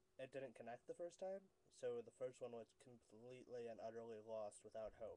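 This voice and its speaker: This man speaks with an American accent in a medium pitch. His tone is dark and mellow, and his pitch varies in an ordinary way. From northeastern Pennsylvania, USA. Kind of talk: casual talk to camera. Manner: hesitant, rambling.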